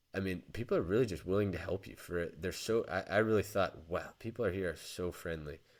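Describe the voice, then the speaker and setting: On a very clean recording with a silent background, a man with an American accent and a fairly low voice talks very fast with hardly any pauses and ordinary pitch variation. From United States. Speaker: podcast co-host. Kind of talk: casual chat. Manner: halting, many restarts.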